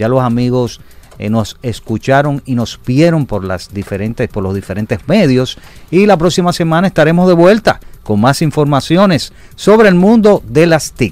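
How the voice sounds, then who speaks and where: Very wide pitch swings mark this man's speech. He talks in a fairly high pitch. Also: moderate pace. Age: 50s. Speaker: tech show host. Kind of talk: broadcast talk show.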